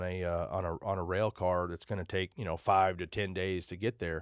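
In a very clean recording with a silent background and a dry, close sound with no echo, a man with a West Texas accent speaks at a fairly low pitch and a fairly quick pace. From Texas, Amarillo. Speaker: trucking company owner. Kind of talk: interview. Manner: casual, with many fillers.

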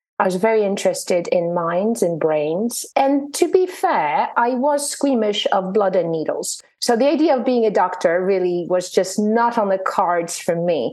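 A woman in a plain, everyday voice at medium pitch, moderate pace and very even loudness, with lively intonation and hardly any pauses. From Poland, then moved to the US as a child. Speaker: neuroscientist and wellbeing coach. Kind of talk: interview.

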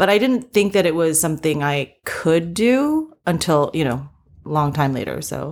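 With an American accent and an unremarkable speaking voice, a woman talks at a fairly slow pace and fairly low pitch, her intonation lively. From US East Coast. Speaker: TV writer and producer. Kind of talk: interview.

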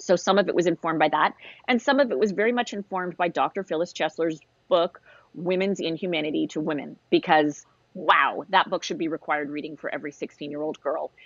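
A woman's fairly quick, fairly low-pitched delivery in a plain, everyday voice, with ordinary pitch variation. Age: 50s. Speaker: novelist. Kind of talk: casual chat.

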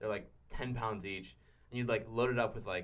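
A man speaks with an American accent. There is audible echo from the room. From Pittsburgh, Pennsylvania. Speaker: college student and backpacker. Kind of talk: casual chat. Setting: studio.

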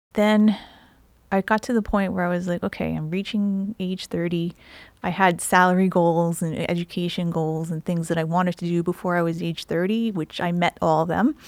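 Recorded very cleanly against a silent background with a dry, close sound and no echo, a plain, everyday voice with an American accent speaks at a moderate pace with fairly even intonation. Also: woman, fairly low pitch for a woman. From New Jersey. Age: 50s. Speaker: nutrition health coach. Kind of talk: interview.

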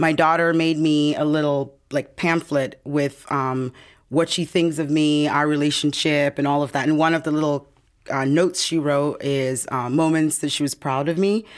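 A woman speaks at a moderate pace with a very deep, low pitch. Her loudness stays very even and her intonation fairly even. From Ghana. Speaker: TV producer and guest co-host. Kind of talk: interview.

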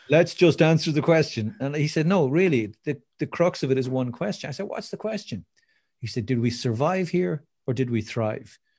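A man with an Irish accent, fairly high pitch, and lively intonation, somewhat breathy at a moderate pace, in a very clean recording with a silent background. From Ireland. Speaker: motivational speaker. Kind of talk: interview. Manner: animated.

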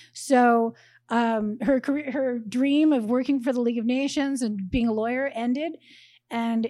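In a very clean recording with a silent background, a woman speaks at a moderate pace and fairly high pitch, her dark, mellow tone carried on fairly even intonation. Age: 50s. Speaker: novelist. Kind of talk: interview. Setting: bookstore stage with live audience.

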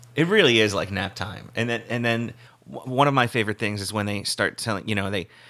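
This man has a normal speaking voice with a fairly low pitch. His pitch variation is ordinary. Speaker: podcast host. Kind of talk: casual chat.

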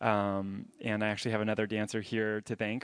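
In an American accent, a man talks at a moderate pace with fairly low pitch and a plain, everyday voice. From US South, Jacksonville, Florida. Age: 20s. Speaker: ballet dancer. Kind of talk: interview on stage. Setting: stage with audience.

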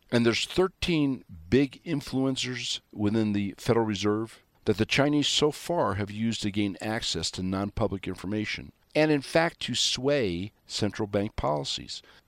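Here is a man with a plain, everyday voice and a fairly low pitch. He talks at a moderate pace with lively intonation, in a dry, close sound with no echo. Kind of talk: radio monologue with ad-read promos. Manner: sarcastic, folksy.

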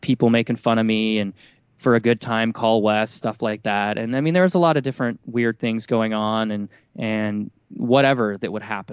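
Moderately paced, this man's speech has a medium pitch, ordinary pitch variation, and a normal speaking voice. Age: 30s. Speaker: entrepreneur. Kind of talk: interview.

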